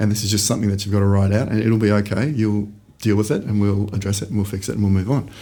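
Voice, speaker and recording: A man talks at a very fast pace with a fairly low pitch. His tone is dark and mellow, somewhat breathy. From Australia, Brisbane. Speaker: startup founder. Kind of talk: podcast interview.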